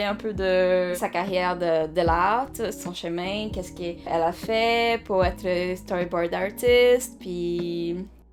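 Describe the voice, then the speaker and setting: Music plays in the background as a woman at medium pitch speaks at a very slow pace with ordinary pitch variation. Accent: non-native. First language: Portuguese (speaking French). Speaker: animation artist and channel host. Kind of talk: casual interview chat. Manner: halting, hesitant.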